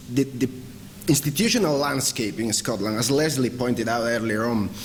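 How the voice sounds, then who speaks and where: At a moderate pace, a man speaks with a Spanish accent. Noticeable background noise and audible room echo can be heard. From Galicia, northwest Spain. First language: Spanish or Galician. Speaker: academic researcher. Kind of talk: conference talk. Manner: halting.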